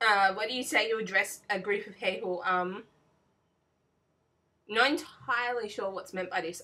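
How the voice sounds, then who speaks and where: With an Australian accent and a bright, sharp tone, this speaker moves at a moderate pace, using ordinary pitch variation, big swings in loudness and long, frequent pauses. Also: woman, fairly high pitch for a woman. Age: 20s. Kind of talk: casual talk to camera. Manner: hesitant, frequent fillers.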